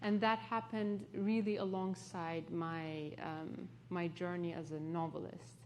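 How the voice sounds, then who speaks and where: With a Turkish accent, a woman speaks at a fairly low pitch with lively intonation, and audible room echo surrounds her voice. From Turkey, partly raised in London. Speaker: author. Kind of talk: onstage interview.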